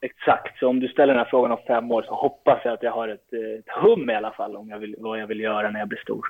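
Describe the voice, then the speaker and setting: A man talks very fast with fairly even intonation. His loudness swings a great deal. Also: medium pitch for a man, hardly any pauses. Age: 20s. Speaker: footballer. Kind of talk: interview.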